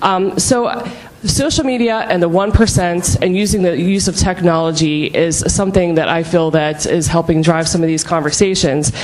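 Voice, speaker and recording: A woman with a Pittsburgh accent speaks with a fairly low pitch, ordinary pitch variation, and hardly any pauses, amid noticeable background noise and audible room echo. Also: moderate pace. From Pittsburgh, Pennsylvania. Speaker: beef producer. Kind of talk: panel discussion. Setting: conference stage with audience.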